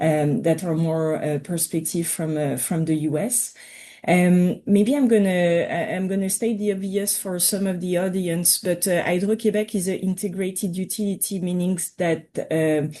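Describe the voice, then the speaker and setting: A woman's dark, mellow voice at medium pitch with a strong French accent, ordinary pitch variation and a moderate pace, against a quiet background. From Quebec. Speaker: utility representative. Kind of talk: webinar presentation. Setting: video call. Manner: halting.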